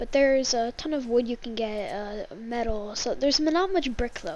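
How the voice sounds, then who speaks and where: Here a woman speaks with a high pitch and ordinary pitch variation. Her pace is moderate. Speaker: gaming YouTuber. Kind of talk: gameplay commentary tutorial. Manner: halting, many fillers; casual.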